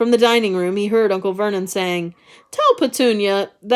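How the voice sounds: What you hear is a reading voice that sounds natural.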